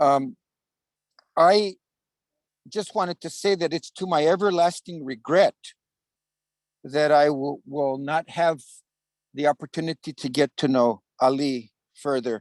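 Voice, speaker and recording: In a very clean recording with a silent background and a dry, close sound with no echo, a man speaks at a fairly slow pace and a fairly high pitch, with ordinary pitch variation and long, frequent pauses. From US, Chicano (Mexican-American). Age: 60s. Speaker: memorial speaker, activist. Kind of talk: memorial tribute. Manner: halting, with many fillers and repetitions.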